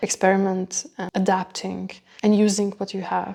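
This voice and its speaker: A woman speaks with a non-native accent at a moderate pace. Her voice sits at medium pitch with a dark, mellow tone. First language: not English. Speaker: cooking channel host, nutrition coach. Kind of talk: cooking talk to camera. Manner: hesitant, non-native phrasing.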